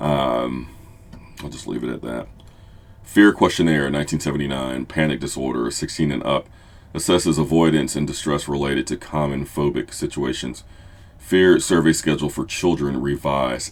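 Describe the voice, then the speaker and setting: A man speaks in a very deep, low pitch with vocal fry and fairly even intonation. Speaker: therapist. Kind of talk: tutorial. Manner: occasional stumbles and self-corrections.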